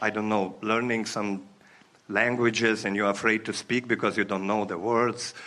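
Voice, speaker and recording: A man talks at medium pitch in a bright, sharp tone. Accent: non-native. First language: not English. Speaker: audience member. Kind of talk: workshop Q&A. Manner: halting.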